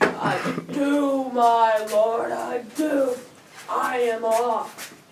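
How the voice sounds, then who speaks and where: A put-on character voice sits at a fairly high pitch. It moves at a very slow pace, with a slight echo. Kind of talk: comic amateur stage play. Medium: stage play.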